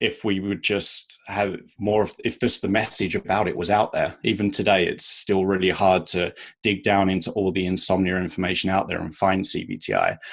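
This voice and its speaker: The speaker has a British accent and a monotone, flat intonation, going at a moderate pace over a quiet background. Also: man, fairly low pitch for a man. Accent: British accent, noticeable. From UK. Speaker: sleep coach. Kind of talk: interview.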